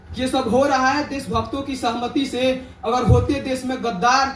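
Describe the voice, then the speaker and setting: A man's extremely high-pitched, passionate voice over noticeable background noise. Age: young. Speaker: student poet. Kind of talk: poetry reading. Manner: passionate, fiery.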